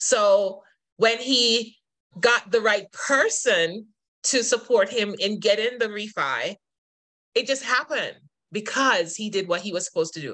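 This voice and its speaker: Against a quiet background, a woman with a fairly high voice speaks at a moderate pace, leaving long, frequent pauses. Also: lively intonation. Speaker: real estate agent. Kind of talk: casual interview. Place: home room. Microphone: video call.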